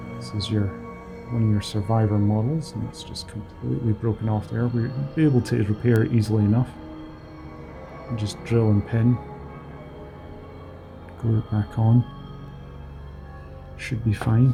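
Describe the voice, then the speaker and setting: A man's mumbling at medium pitch and a moderate pace, with fairly even intonation, long, frequent pauses and music in the background. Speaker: miniatures hobbyist. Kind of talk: casual unboxing talk. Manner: flat, mumbly.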